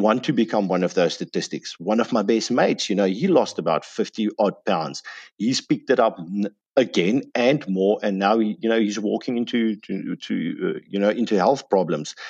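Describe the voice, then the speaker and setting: Over a quiet background, a man talks at a fairly quick pace with hardly any pauses. His pitch is fairly low, with ordinary pitch variation. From South Africa. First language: Afrikaans. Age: 30s. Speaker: health and fitness guest. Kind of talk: casual interview.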